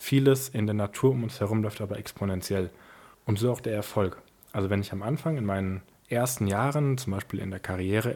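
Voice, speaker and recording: On a very clean recording with a silent background, a man speaks. His voice is fairly low and somewhat breathy. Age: 20s. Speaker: family business successor and founder. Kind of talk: interview.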